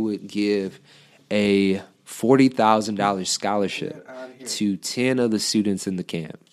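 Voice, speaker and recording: This man has an unremarkable speaking voice and an American accent, at medium pitch with ordinary pitch variation. His moderate pace comes through on a very clean recording with a silent background. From Detroit area, Michigan. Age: 20s. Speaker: author and engineering PhD student. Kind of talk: interview conversation.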